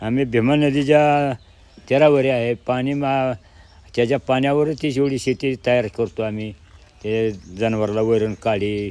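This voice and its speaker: His intonation remains fairly even. The man's tone is dark and mellow. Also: medium pitch for a man. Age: 70s. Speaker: elderly farmer. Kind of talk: interview.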